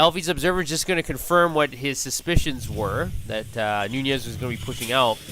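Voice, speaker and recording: Music plays in the background as a man with a fairly high voice speaks fairly quickly and with lively intonation. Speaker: esports shoutcaster. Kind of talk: esports game commentary.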